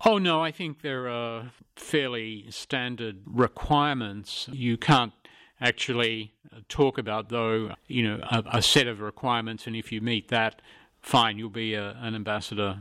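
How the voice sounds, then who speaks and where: Speaking slowly-ish with an Australian accent, a man at medium pitch keeps a fairly even intonation and a bright, sharp tone on a very clean recording with a silent background and a dry, close sound with no echo. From Australia, rural northern New South Wales. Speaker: retired diplomat. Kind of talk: interview.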